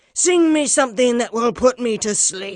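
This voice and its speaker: Bellowing and gruff, a woman puts on a high-pitched character voice at a moderate pace. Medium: read story. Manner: bellowing, gruff.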